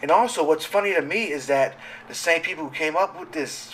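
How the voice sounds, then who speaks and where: A man speaks over noticeable background noise. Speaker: gamer and commentary vlogger. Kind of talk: casual monologue rant. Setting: home recording, sitting at microphone late at night. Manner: halting, many fillers and restarts; animated. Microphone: audio issues, raw uncut.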